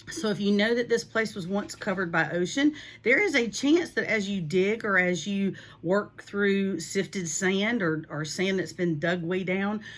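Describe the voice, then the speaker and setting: Speaking at a moderate pace, a woman uses lively intonation at a medium pitch. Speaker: beachcombing and fossil-hunting video creator. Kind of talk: tutorial. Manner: animated.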